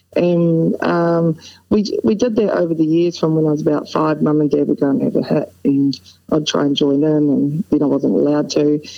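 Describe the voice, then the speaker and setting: With a New Zealand accent, a woman speaks at a very deep, low pitch and a moderate pace. Her loudness stays very even, with ordinary pitch variation. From New Zealand, North Otago. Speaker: former professional tennis player and coach. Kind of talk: casual interview.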